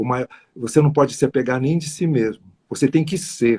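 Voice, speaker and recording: A man talks in a plain, everyday voice with ordinary pitch variation. The sound is dry and close, with no echo. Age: 60s. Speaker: numerologist. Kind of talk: interview on live stream. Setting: live stream.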